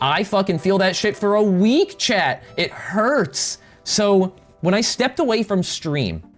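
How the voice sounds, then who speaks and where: Over background music, a woman speaks fairly slowly, her loudness very even and her intonation lively. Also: medium pitch for a woman. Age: 30s. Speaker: vtuber streamer. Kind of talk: casual livestream chat. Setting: home streaming desk. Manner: casual, filler-heavy with repetitions.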